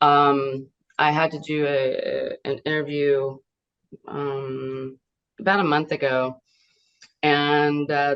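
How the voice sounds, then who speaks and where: A woman's very deep, low voice with a slight Southern US accent. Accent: slight Southern twang. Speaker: voice actress. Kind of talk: interview. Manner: halting.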